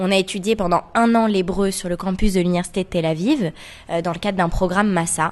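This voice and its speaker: A woman talks at a fairly quick pace in a plain, everyday voice of medium pitch, with fairly even intonation. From France, Paris. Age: 20s. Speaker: association co-founder. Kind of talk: radio interview.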